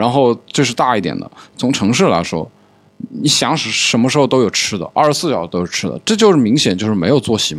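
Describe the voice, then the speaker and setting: Very wide pitch swings mark this man's medium-pitched voice, which has vocal fry. He talks very fast. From Changsha, Hunan, China. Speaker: podcast host. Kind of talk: casual chat. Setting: studio.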